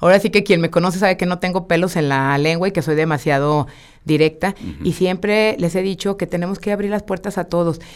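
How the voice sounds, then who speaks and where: In an energetic tone, a woman with a fairly low pitch talks at a fairly quick pace. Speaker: mayoral candidate, politician. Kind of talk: radio interview. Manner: direct.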